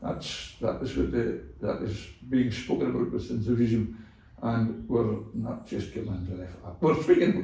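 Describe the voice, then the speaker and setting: Amid audible room echo, a man with a Scottish accent talks at a moderate pace, his loudness swinging widely. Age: 70s. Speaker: cattle farmer. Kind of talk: casual interview chat.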